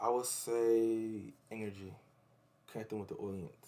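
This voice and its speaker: Using monotone, flat intonation, a man with an American accent speaks at a fairly low pitch. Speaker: rapper. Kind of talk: interview.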